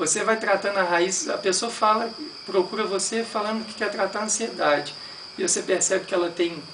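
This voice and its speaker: The speech moves at a moderate pace. Noticeable background noise runs behind it. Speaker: meditation teacher. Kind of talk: lecture.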